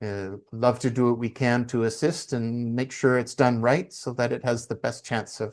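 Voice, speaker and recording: With a Canadian accent, the speaker keeps a moderate pace with hardly any pauses and fairly even intonation against a quiet background. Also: man, medium pitch for a man. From Canada. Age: 50s. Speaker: community currency consultant and author. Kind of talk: interview conversation. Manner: hesitant, many fillers.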